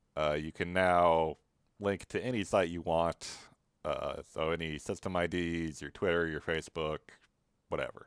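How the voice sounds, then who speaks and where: At a moderate pace, a man speaks with a very deep, low pitch and fairly even intonation in a very clean recording with a silent background. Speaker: web developer. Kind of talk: casual screen-recorded walkthrough. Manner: casual, hesitant with fillers.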